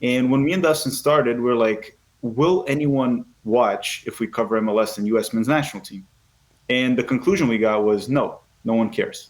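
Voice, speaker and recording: The delivery moves at a moderate pace. A Portuguese accent is evident. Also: man, medium pitch for a man, ordinary pitch variation. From Brazil. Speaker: soccer YouTuber. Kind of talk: podcast interview.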